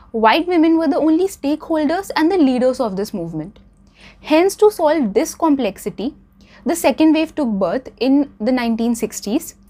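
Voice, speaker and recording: Through noticeable background noise, a woman's high voice moves in very wide pitch swings. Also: moderate pace. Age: young. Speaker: student debater. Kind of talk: debate speech to camera.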